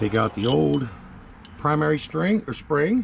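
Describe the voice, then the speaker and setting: A man's voice with very wide pitch swings. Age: 50s. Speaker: DIY mechanic video maker. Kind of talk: tutorial. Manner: casual.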